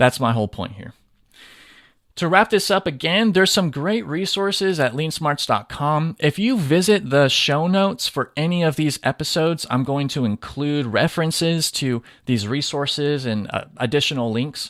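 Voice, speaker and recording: A man with an American accent and a fairly high pitch speaks at a moderate pace with lively intonation on a very clean recording with a silent background. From Southern California. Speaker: podcast host, lean manufacturing educator. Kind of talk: solo podcast monologue.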